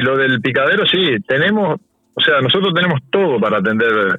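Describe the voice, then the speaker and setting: With lively intonation, a man talks at a fairly quick clip. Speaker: board member of a local therapy centre. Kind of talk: radio interview. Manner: halting, many repeated words and fillers.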